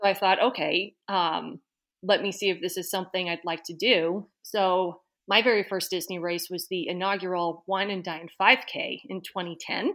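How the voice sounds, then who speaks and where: A woman with an unremarkable speaking voice talks at a moderate pace and medium pitch, her intonation fairly even, on a very clean recording with a silent background. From Boston area, Massachusetts. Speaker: amateur runner. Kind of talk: interview.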